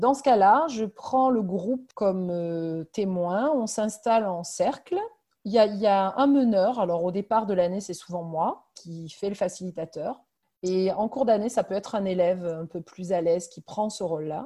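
An unremarkable speaking voice at a fairly slow pace, with ordinary pitch variation and big swings in loudness. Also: woman, medium pitch for a woman. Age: 40s. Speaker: primary school head teacher. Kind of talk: interview.

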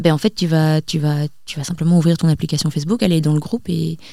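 Talking at a very fast pace, a woman has a dark, mellow tone and a fairly low pitch. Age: 20s. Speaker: community founder, entrepreneur. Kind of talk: interview.

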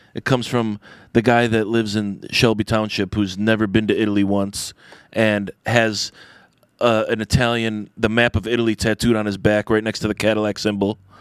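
A man with a Michigan accent speaks at a moderate pace in a flat monotone with fairly low pitch, on a very clean, dry, close recording with no echo and a silent background. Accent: Michigan American. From Michigan, Detroit east side. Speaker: chef and restaurant owner. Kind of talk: casual chat. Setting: hotel room.

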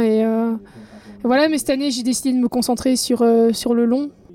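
The woman's voice sits high in pitch, with a monotone, flat intonation. She keeps a moderate pace. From Belgium. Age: 30s. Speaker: professional triathlete. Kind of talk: interview.

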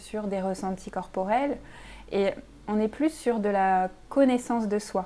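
A woman speaks at a fairly slow pace with a fairly high pitch. Her tone is dark and mellow, and her intonation fairly even. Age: 30s. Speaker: sophrologist. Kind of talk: casual interview. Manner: hesitant, many fillers.

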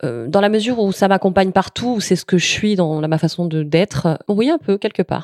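Dry and close with no echo, a woman's voice moves at a moderate pace with lively intonation. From southern France, Camargue near Nîmes. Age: 30s. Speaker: author and journalist. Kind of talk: interview. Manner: hesitant, many fillers.

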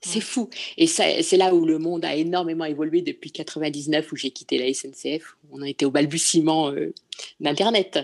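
A woman talks at a fairly slow pace in a very deep, low voice. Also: ordinary pitch variation. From Paris. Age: 60s. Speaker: concept store owner. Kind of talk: interview. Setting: video call. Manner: halting.

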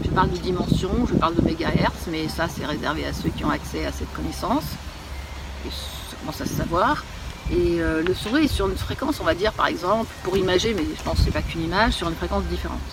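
A woman talks at a very fast pace. Audible room echo and noticeable background noise are present. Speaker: author and video creator on giftedness. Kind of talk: recorded phone conversation. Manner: fast, dominating, interrupting.

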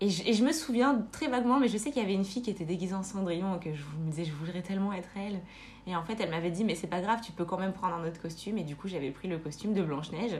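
At a very fast pace, a woman speaks with lively intonation at a medium pitch. Her somewhat breathy voice has an audible room echo. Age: 20s. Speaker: nurse. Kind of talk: casual chat. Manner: halting.

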